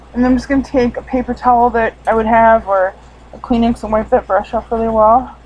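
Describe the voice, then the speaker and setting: A woman's fairly high, monotone, flat voice at a fairly quick pace over noticeable background noise. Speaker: beauty vlogger. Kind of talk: tutorial. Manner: casual, filler words.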